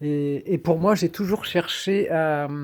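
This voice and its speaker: A man speaks with ordinary pitch variation. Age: 60s. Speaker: shamanic practitioner. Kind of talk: personal monologue. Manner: halting, many hesitations.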